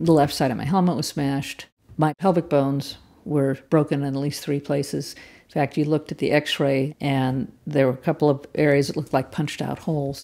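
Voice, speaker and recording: With a Californian accent, a woman talks at a fairly quick pace in a very deep, low pitch and a dark, mellow tone. Her intonation is fairly even, and the recording is very clean with a silent background. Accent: General American (Californian). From US West Coast, Palo Alto, California. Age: 60s. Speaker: cyclist interviewee. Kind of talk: personal storytelling interview.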